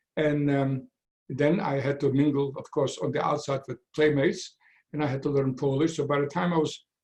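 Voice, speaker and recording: A man's somewhat breathy voice sits at a fairly high pitch, and his intonation stays fairly even. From Poland. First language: Yiddish. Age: 90s. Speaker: Holocaust survivor. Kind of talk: testimony. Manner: halting.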